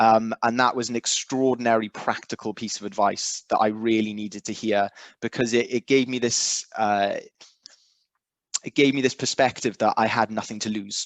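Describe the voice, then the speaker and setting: This voice speaks in a Welsh accent at a moderate pace, with monotone, flat intonation. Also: man, medium pitch for a man. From South Wales. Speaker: recovery fellowship member. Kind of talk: testimony. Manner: halting.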